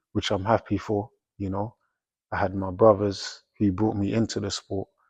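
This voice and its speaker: A man with a South London accent speaks at a moderate pace in a fairly low, somewhat breathy voice with monotone, flat intonation. The sound is dry and close with no echo, and the background is quiet. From South London, England. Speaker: professional boxer. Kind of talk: interview, casual chat. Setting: boxing gym.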